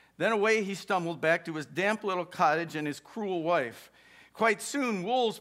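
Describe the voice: The pitch shifts in an ordinary way throughout this plain reading aloud.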